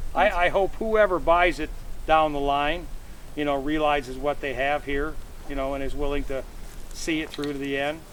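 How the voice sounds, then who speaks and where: Fairly even intonation marks this man's American accent. He talks at a moderate pace, with audible room echo. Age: 70s. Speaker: tree farmer. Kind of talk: casual chat.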